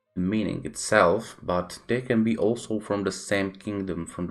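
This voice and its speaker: In a Czech accent, a man speaks at a fairly low pitch with fairly even intonation. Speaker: gaming YouTuber. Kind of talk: game tutorial narration.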